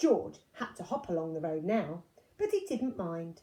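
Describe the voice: With a dark, mellow tone, a woman speaks fairly low and fairly slowly, her pitch swinging widely.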